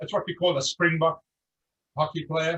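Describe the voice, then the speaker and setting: A man with a South African accent speaks at a fairly high pitch. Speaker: insurance agent. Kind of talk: testimony.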